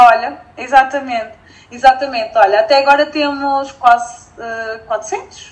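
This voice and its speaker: A high-pitched woman speaks at a fairly slow pace with big swings in loudness. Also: ordinary pitch variation. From northern Portugal (Felgueiras). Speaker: entrepreneur and environmental engineer. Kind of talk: casual interview chat.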